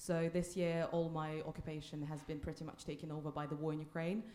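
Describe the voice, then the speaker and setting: Noticeable background noise sits behind a woman's fairly low voice. She talks at a fairly quick pace. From Russia. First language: Russian. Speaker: anti-war activist. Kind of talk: panel discussion.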